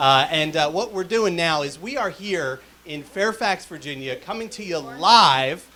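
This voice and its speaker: A man speaks in a raised, projected voice with lively intonation. Noticeable background noise is present. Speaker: telethon host. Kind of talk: live telethon hosting. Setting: live stream studio. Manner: loud.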